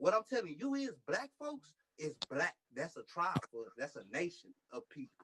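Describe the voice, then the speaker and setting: A man's bright, sharp tone with lively intonation and a fairly quick pace, dry and close with no echo. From United States. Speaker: clubhouse room participant. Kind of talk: heated debate. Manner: animated, repetitive.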